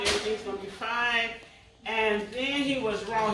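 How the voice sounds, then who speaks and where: With noticeable background noise and audible room echo, a woman speaks at a moderate pace in a fairly high pitch with fairly even intonation. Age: 60s. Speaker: pastor and cancer survivor. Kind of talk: testimony.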